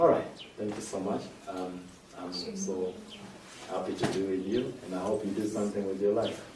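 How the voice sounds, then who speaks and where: Against noticeable background noise and audible room echo, a man with a fairly low pitch talks at a moderate pace, his intonation fairly even and his pauses long and frequent. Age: 20s. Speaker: motivational speaker. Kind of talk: audience Q&A; inspirational talk.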